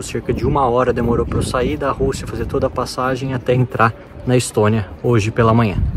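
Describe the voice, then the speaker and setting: Over noticeable background noise, a man talks at a fairly quick pace and medium pitch with fairly even intonation. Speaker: travel vlogger. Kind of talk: travel vlog narration. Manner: soft-spoken.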